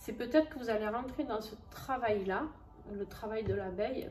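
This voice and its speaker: Noticeable background noise and audible room echo accompany a woman speaking fairly slowly with a southern French accent. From southern France. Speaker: tarot and oracle card reader. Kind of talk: astrology card reading. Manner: casual, hesitant with many fillers.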